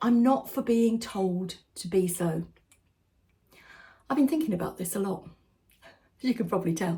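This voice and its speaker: A woman with an English accent talks at a moderate pace in a medium pitch, her somewhat breathy voice dark and mellow, with lively intonation and long, frequent pauses. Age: 60s. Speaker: lifestyle vlogger. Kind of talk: direct-to-camera vlog talk. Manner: conversational.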